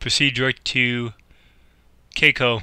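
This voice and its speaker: Mumbling in an American accent, a man speaks at a medium pitch with a bright, sharp tone and fairly even intonation. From Chicago area, US Midwest. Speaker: gamer playing air traffic control simulator. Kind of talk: gameplay commentary with simulated radio calls. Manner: mumbled diction.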